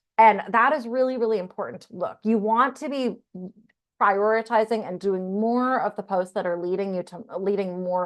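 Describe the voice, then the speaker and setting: A woman talks in an unremarkable speaking voice. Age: 30s. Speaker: content creator teaching a masterclass. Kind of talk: online masterclass. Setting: video call.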